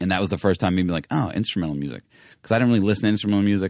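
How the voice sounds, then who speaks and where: A man's pitch varies in an ordinary way throughout this very clean recording with its silent background. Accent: American. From New York, Manhattan. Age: 30s. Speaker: hip hop producer. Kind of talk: casual chat.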